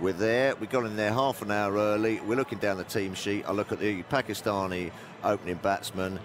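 Delivered at a fairly quick pace, the fairly even intonation sits in a dry sound with no echo while faint music plays in the background. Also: man, fairly low pitch for a man. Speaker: radio panelist. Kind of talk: anecdote storytelling on radio.

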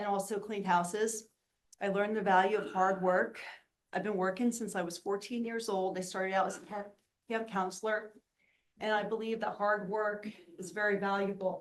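A woman speaks in a flat monotone at a moderate pace, with long, frequent pauses. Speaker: board candidate, university educator. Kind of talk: job interview. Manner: loud.

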